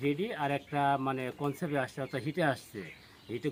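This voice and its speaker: A man is speaking. He has a normal speaking voice. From Bangladesh, Pabna district. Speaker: dairy farmer. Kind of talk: casual interview.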